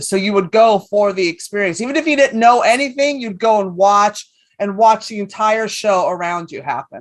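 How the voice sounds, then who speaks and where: A woman with a New York accent talks at a fairly quick pace, barely pausing. Her tone is animated. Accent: New York-sounding. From San Francisco, California. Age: 50s. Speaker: comedian. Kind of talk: casual chat. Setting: stage with audience.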